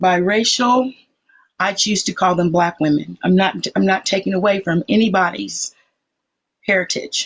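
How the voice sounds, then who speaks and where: This is a woman with an unremarkable speaking voice at a medium pitch, showing ordinary pitch variation. She keeps a moderate pace and very even loudness. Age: 60s. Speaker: participant in a live social media debate. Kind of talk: casual group discussion.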